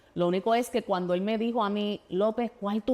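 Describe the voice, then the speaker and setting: A woman with a Puerto Rican accent is heard on a very clean recording with a silent background. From Puerto Rico. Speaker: state legislator and former teacher. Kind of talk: interview. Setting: studio. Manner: halting, many fillers and restarts.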